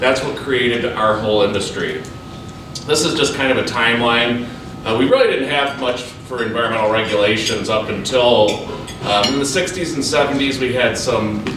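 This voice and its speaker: Ordinary pitch variation amid audible room echo and noticeable background noise. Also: man, medium pitch for a man. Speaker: environmental consultant. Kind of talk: presentation. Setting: business luncheon with audience. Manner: fast.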